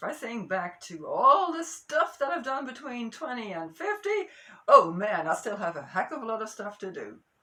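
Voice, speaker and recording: A woman's raised, projected voice at a moderate pace, with very wide pitch swings. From Amsterdam, Netherlands. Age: 60s. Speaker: geologist and marine biogeochemist. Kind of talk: casual talk to camera. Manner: mellow.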